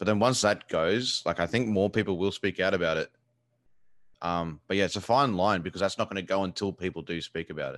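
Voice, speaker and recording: A man with an Australian accent, fairly low in pitch with ordinary pitch variation, at a fairly quick pace, in a dry, close sound with no echo against a quiet background. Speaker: video game streamer. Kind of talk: casual chat. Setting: video call.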